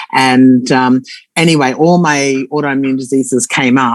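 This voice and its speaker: A woman's very deep, low voice in an Australian accent. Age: 60s. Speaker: former nurse sharing testimonial. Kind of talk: testimony. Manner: halting.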